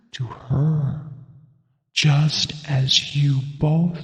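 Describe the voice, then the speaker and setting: Using a put-on character voice with a fairly high pitch, a man speaks at a very slow pace amid clear echo. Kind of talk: gothic ghost story. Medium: audio drama. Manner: measured, old-fashioned phrasing.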